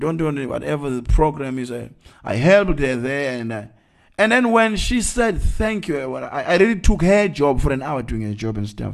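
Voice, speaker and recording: The speaker talks at a fairly quick pace with a Zulu accent. The pitch swings very wide. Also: man, fairly high pitch for a man. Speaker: evangelist. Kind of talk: sermon. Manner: halting.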